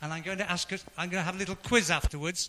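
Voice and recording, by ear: A man talks at a very fast pace in a high voice with a bright, sharp tone and fairly even intonation.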